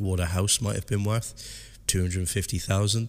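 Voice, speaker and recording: A man with a Southwest English accent speaks in a very deep, low voice that is somewhat breathy, with fairly even intonation. The recording is very clean, with a silent background. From Southwest England. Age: 30s. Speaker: podcast host, hairdressing educator. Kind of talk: solo podcast monologue.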